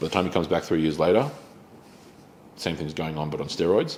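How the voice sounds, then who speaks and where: A man talks with an Australian accent. His very deep, low voice keeps a moderate pace. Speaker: pastor. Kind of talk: bible study teaching. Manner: casual with many fillers.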